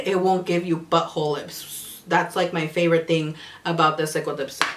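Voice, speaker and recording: A woman speaks over noticeable background noise. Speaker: beauty youtuber. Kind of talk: product review vlog. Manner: animated.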